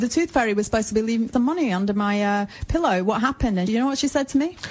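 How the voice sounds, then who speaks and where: Music plays in the background as the speaker talks with lively intonation. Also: woman. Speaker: radio presenter. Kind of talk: casual anecdote on radio.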